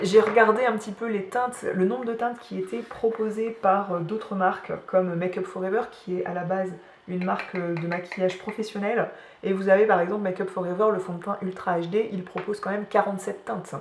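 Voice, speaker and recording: Amid noticeable background noise and audible room echo, a woman speaks at a fairly quick pace with medium pitch and fairly even intonation. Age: 30s. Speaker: beauty vlogger. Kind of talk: casual chat. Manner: hesitant, many fillers.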